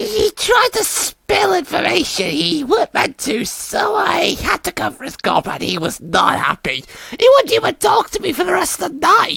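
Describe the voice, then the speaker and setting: A put-on character voice at an extremely high pitch, moderate pace and hardly any pauses. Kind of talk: comic dub. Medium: dub. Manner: casual, chatty.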